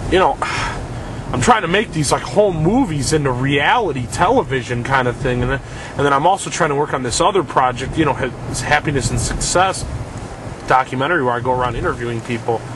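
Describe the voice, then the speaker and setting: Over noticeable background noise, a man talks fairly quickly in a fairly high voice with ordinary pitch variation. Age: 20s. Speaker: independent filmmaker. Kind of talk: casual video diary. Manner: fast.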